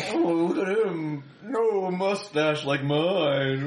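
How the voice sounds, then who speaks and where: A man puts on a character voice with a high pitch and ordinary pitch variation. He speaks at a very slow pace over clear background noise. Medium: actual play. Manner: boastful, self-promoting.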